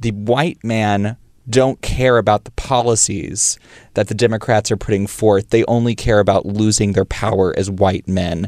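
In a plain, everyday voice, a man speaks at a moderate pace and fairly low pitch with fairly even intonation, the sound dry and close with no echo. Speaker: young LGBT activist podcaster. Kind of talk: casual chat.

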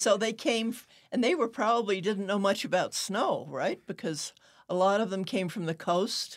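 A woman with an American accent and a normal speaking voice, medium in pitch, with ordinary pitch variation. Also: moderate pace. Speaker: newspaper owner and podcast host. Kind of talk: interview.

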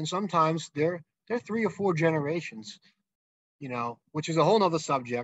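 Here is a man with an unremarkable speaking voice and an American accent. His pitch sits fairly high and his intonation is lively. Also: fairly quick pace. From Massachusetts, South Shore. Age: 30s. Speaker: vacation rental operator. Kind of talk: interview.

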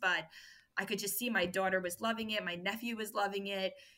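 With a New York accent, a woman speaks fairly quickly in a bright, sharp tone, keeping a medium pitch and fairly even intonation. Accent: New York American. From US, New York. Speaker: food business founder and mother. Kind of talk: podcast interview.

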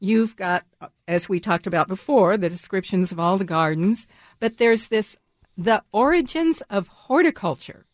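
Against a quiet background, a woman with an American accent speaks at a moderate pace in an ordinary speaking voice. Her pitch is medium, her intonation lively, and the sound dry and close with no echo. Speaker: radio host. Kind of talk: radio interview, gardening show. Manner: friendly, laughs often.

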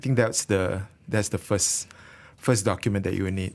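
A man's fairly low voice with a Malaysian accent. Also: very clean recording, silent background. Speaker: financial advisor. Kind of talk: radio interview. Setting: studio.

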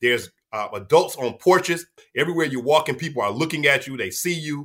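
The voice has an American accent. Its pitch variation is ordinary. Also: man. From Detroit, Michigan. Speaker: city historian and tour guide. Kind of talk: interview. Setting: video call. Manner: hesitant fillers.

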